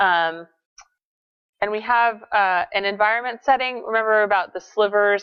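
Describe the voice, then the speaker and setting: A woman talks at a moderate pace in an unremarkable speaking voice. Her pitch variation is ordinary. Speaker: GIS instructor. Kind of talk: lecture. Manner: many filler words (um, uh).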